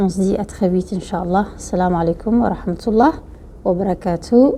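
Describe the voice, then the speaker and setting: A woman with a Somali accent. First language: Somali (speaking French). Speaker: YouTuber giving life advice. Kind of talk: talk to camera, advice. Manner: hesitant, many fillers.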